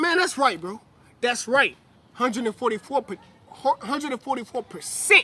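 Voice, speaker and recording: A man with an extremely high pitch projects a raised voice in an animated tone, his intonation lively and his pace moderate, the sound dry and close with no echo. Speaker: religious teacher. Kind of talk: sermon. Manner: loud.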